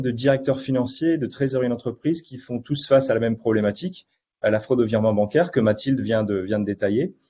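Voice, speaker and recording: At a very fast pace, a man speaks with ordinary pitch variation against a quiet background. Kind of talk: webinar presentation.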